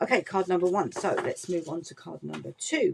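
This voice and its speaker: A woman speaks with a British accent. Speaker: craft demonstrator. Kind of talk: tutorial. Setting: online workshop video. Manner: casual, chatty.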